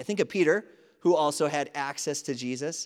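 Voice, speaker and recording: A man with a slight Wisconsin accent talks at a fairly high pitch and moderate pace with ordinary pitch variation, on a very clean recording with a silent background. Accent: Wisconsin Midwestern, slight. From Wisconsin, US. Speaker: preacher. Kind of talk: sermon. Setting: church.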